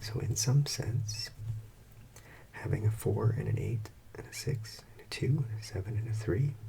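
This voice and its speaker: A soft-spoken voice moves at a moderate pace with long, frequent pauses. Noticeable background noise runs underneath. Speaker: math teacher. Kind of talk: ASMR math lesson.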